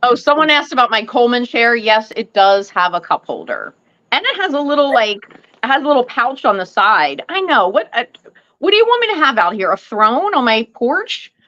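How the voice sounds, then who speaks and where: A loud, high-pitched woman's voice with very wide pitch swings and a fairly quick pace. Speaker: live stream host, fragrance collector. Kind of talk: casual chat.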